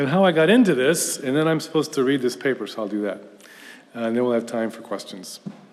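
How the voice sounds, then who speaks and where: Speaking at a very fast pace with lively intonation, a man with a medium-pitched voice is heard amid audible room echo. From US South, Houston, Texas. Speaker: professor. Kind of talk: lecture. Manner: conversational with hesitations.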